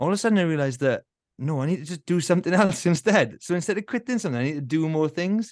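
In a Welsh Valleys accent, a man talks at a very fast pace. His high-pitched voice has an animated tone. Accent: south Welsh (Valleys). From Wales, Rhondda valleys. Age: 40s. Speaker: musician and former elite runner. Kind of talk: casual interview chat. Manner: animated, laughing often.

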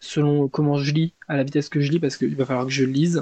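Somewhat breathy delivery with monotone, flat intonation. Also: man. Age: 20s. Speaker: book podcaster. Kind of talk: casual monologue. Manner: casual, hesitant.

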